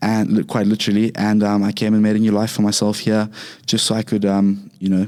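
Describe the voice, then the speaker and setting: A man with a Zimbabwean accent speaks fairly quickly in a dark, mellow tone, his fairly low pitch held to a flat monotone at very even loudness. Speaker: Muay Thai and MMA fighter. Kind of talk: casual interview.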